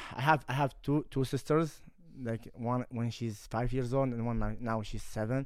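A man with an Arabic accent, medium in pitch, with fairly even intonation at a moderate pace. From Kuwait. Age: 20s. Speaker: MMA fighter. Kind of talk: casual chat. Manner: halting.

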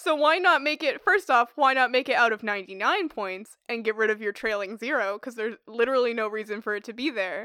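On a very clean recording with a silent background, a woman with a fairly high pitch and a bright, sharp tone speaks at a fairly quick pace with lively intonation and hardly any pauses. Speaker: podcast host, physics student. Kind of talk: casual chat. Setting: studio. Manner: talkative.

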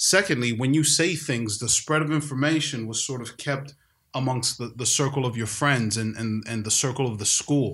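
A man with an American accent talks at a moderate pace in an unremarkable speaking voice, medium in pitch with ordinary pitch variation. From New York City. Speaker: podcast host, dad. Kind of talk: casual podcast discussion. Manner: conversational, joking.

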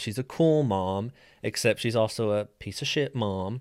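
A man with a plain, everyday voice and an American accent, medium pitch, ordinary pitch variation, a moderate pace, and a very clean recording with a silent background. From West Virginia. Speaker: true crime podcast host. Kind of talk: true crime storytelling.

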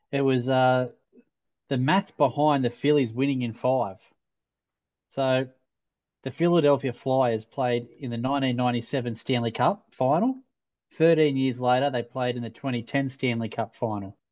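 Medium-pitched male voice with an Australian accent, fairly slow and fairly even in intonation, broken by long, frequent pauses. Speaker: podcast co-host. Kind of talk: casual chat. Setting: video call.

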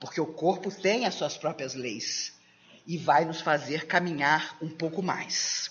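Speaking at a very slow pace, a woman with a very deep, low pitch shows ordinary pitch variation. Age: 60s. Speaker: spiritist lecturer. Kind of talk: lecture.

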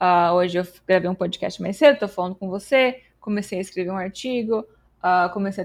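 A woman's medium-pitched voice with ordinary pitch variation, a fairly quick pace and hardly any pauses, on a very clean recording against a silent background. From Brazil, São Paulo state. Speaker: developer relations engineer and streamer. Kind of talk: casual interview chat.

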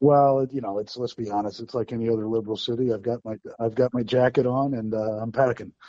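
Very fast, monotone speech from a man at medium pitch, with hardly any pauses. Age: 40s. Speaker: caller. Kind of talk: call-in chat.

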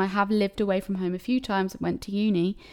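Recorded very cleanly against a silent background, a woman speaks in a southern English accent. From Cambridge, England. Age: 20s. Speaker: podcast host. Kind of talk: solo casual monologue. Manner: chatty, rambling with fillers.

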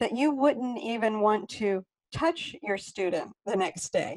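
A woman talks at a fairly slow pace in a normal speaking voice. Her pitch variation is ordinary. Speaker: podcast host and yoga studio teacher. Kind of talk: interview.

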